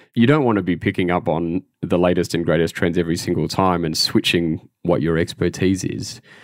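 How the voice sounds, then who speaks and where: A man with an Australian accent and a very deep, low pitch, talking at a fairly quick pace with hardly any pauses and ordinary pitch variation, in a very clean recording with a silent background. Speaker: digital marketer. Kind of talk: interview answers.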